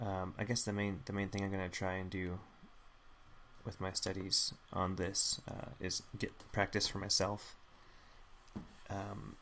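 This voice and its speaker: At a fairly slow pace, a soft-spoken man talks with long, frequent pauses. His voice sits fairly low and stays monotone and flat. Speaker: artist live-streaming drawing studies. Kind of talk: live stream tutorial.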